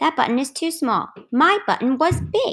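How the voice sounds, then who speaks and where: A woman adopts a put-on character voice, pitched extremely high and delivered at a moderate pace. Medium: read story.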